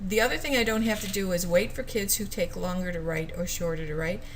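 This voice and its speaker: In a room with audible echo, a woman's speech races along at a very fast pace. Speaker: teacher. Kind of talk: educational video talk.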